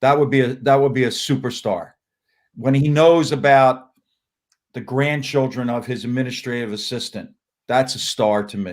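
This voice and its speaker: At a moderate pace, a man talks in an unremarkable speaking voice of medium pitch with fairly even intonation. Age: 60s. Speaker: college basketball coach. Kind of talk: casual interview.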